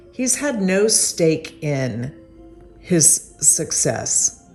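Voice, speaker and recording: A woman's voice with music in the background. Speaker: interviewer. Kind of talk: introduction narration.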